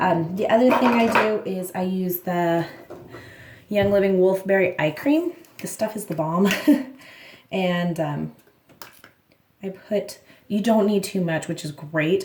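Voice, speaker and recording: A woman with a medium pitch and ordinary pitch variation speaks at a fairly slow pace, somewhat breathy, with long, frequent pauses. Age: 40s. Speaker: beauty vlogger. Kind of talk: tutorial. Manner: casual, with many fillers.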